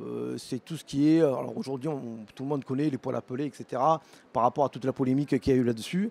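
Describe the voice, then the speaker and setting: A man talks at a very fast pace in a medium-pitched, dark and mellow voice with ordinary pitch variation, recorded dry and close with no echo. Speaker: vocational teacher. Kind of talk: presentation at an education fair. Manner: halting, many fillers.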